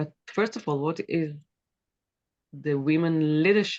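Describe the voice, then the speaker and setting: A woman speaks in a very deep, low pitch with an Israeli accent. The sound is dry and close, with no echo. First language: Hebrew. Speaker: author and former politician. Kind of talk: interview. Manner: halting, with many fillers.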